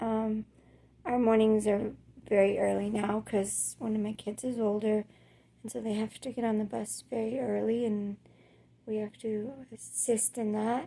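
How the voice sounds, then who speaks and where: A woman talks at a fairly slow pace in a monotone, flat intonation. Noticeable background noise runs behind her. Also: fairly high pitch for a woman. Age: 40s. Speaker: chronic illness vlogger. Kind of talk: casual vlog monologue. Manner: hesitant, many fillers.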